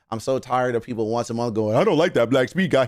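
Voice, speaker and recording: A man speaks. His tone is animated. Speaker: livestreamer reacting to celebrity news. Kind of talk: casual livestream chat. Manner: animated ranting.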